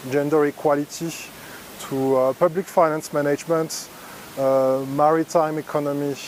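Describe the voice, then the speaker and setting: Against noticeable background noise, a man with a French accent speaks at a moderate pace and fairly high pitch, his intonation monotone and flat. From France. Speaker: EU staff member. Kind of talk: recorded video testimony. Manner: hesitant.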